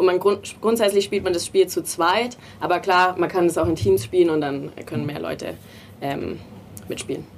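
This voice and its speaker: Fairly low-pitched woman with lively intonation at a moderate pace, over noticeable background noise. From small town in Bavaria. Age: 20s. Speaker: designer and game co-founder. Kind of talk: interview.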